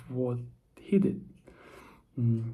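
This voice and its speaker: A soft-spoken man with a dark, mellow tone, medium pitch and a very slow pace, in audible room echo. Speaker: vlogger. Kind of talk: casual monologue vlog. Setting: at home, early morning. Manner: soft-spoken, quiet; halting, many fillers.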